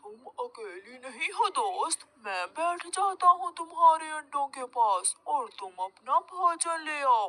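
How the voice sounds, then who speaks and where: A cartoonish character voice with a high pitch moves at a fairly slow pace with hardly any pauses. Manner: sly, scheming.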